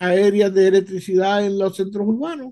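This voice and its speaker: High in pitch yet dark and mellow in tone, a man's voice moves at a fairly slow pace. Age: 60s. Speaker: podcast guest. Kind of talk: casual chat.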